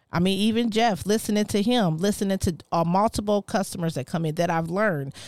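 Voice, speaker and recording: A woman with an ordinary speaking voice talks at a fairly quick pace and a medium pitch, with ordinary pitch variation, very even loudness and hardly any pauses, on a very clean recording with a silent background. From US West Coast. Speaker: entrepreneur. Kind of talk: casual chat.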